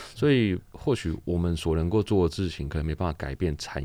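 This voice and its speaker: In a very clean recording with a silent background, a man with a Taiwanese accent speaks at a moderate pace, his very deep, low voice dark and mellow in tone. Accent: Taiwanese Mandarin. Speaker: laundry shop owner and charity organizer. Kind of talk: interview.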